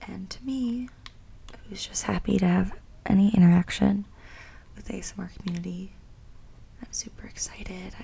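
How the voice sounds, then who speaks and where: A woman at a moderate pace, with long, frequent pauses. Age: 20s. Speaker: ASMR content creator. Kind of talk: ASMR rambling to camera. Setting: home recording, condenser mic. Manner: whispered, soft-spoken. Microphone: studio mic.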